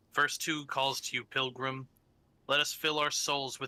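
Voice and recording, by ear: Someone is reading aloud in a natural voice. That is the whole of it.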